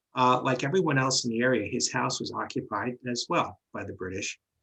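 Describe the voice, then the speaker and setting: A man with a New York accent, at a fairly quick pace. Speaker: medium and paranormal investigator. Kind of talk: history presentation. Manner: halting, many fillers.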